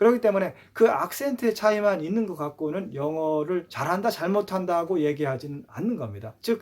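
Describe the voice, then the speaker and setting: A man with a high voice uses lively intonation. He keeps a moderate pace with hardly any pauses. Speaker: YouTuber on English language. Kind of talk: casual talk to camera. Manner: hesitant, many fillers.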